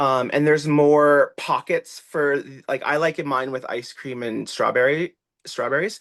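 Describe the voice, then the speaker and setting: The man's tone is animated, with a fairly high pitch. He speaks at a fairly slow pace. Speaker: TikTok creator and children's author. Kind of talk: casual chat. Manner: loud.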